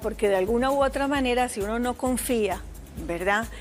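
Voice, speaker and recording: A woman speaks at a moderate pace with fairly high pitch and ordinary pitch variation. Music plays in the background. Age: 50s. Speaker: psychologist. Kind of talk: TV talk show interview.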